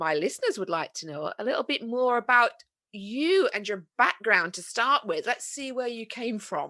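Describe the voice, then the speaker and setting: At a moderate pace, a woman with a high pitch speaks in a Yorkshire accent. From northern England, Yorkshire. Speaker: podcast host. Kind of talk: casual chat.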